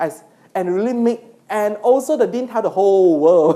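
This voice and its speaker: A woman's fairly high voice with a Malaysian accent. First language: not English. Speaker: university lecturer and PhD supervisor. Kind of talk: lecture. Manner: halting.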